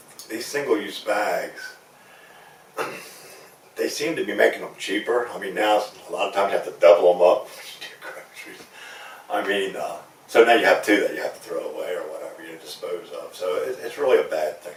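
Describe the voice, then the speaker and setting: A man with an American accent talks at a fairly quick pace with long, frequent pauses and big swings in loudness, over noticeable background noise. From Eastern Shore of Maryland, USA. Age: 60s. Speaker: commercial fisherman, waterman association president. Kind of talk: interview answer.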